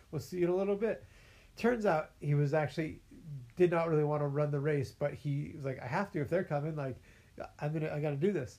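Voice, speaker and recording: In an American accent, a man talks at a very fast pace with a fairly high pitch, a somewhat breathy, dark, mellow tone and ordinary pitch variation. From California. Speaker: podcast host. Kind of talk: casual chat.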